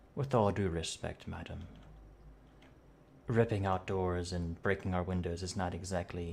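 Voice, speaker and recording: A man's put-on character voice, very deep and low, at a moderate pace with long, frequent pauses, over clear background noise. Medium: actual play. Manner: formal, courteous.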